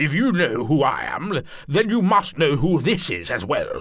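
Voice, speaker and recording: Using a put-on character voice, a man talks at a moderate pace with a high pitch and very wide pitch swings. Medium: read story. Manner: commanding, curt.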